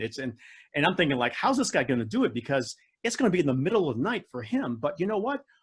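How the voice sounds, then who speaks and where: This man has an American accent and a somewhat breathy voice, and his pitch swings very widely. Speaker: public speaking champion and coach. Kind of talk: Q&A in online club meeting. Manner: animated.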